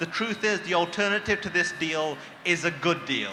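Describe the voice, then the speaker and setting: A man with a British accent in a raised, projected voice, moderate pace and ordinary pitch variation, over noticeable background noise. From Britain. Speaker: activist speaker. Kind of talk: rally speech. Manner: impassioned. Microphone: too far from microphone.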